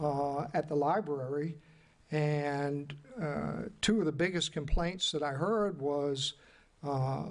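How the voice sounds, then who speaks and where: At a very slow pace, a man with a fairly high pitch talks with ordinary pitch variation. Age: 60s. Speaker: city commissioner. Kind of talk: public meeting discussion. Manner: halting.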